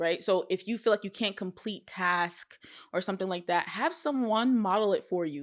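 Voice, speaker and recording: A woman speaks in an ordinary speaking voice at medium pitch and a moderate pace, her intonation lively, on a very clean recording with a silent background. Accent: American. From US, Nigerian American family. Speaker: trauma therapist. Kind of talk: interview conversation.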